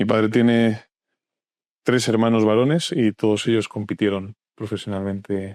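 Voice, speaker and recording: Over a dry, close sound with no echo, a man with fairly low pitch speaks at a moderate pace with long, frequent pauses, fairly even intonation and very even loudness. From Canary Islands (Tenerife), raised in Madrid. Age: 20s. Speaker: journalist and editor. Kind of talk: interview conversation. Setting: podcast studio sofa.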